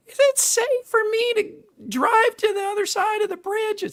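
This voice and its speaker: In a put-on character voice, the speaker squeaks at an extremely high pitch, going at a moderate pace. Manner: sweet.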